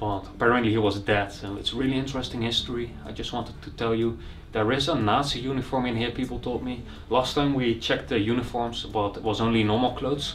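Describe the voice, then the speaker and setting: Faint music plays in the background as a man talks at a very fast pace with fairly even intonation. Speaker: urban explorer vlogger. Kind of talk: casual vlog chat. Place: home room. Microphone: camera far.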